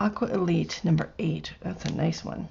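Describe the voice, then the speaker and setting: At a moderate pace, a soft-spoken woman talks. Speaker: craft artist. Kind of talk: product unboxing. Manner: animated.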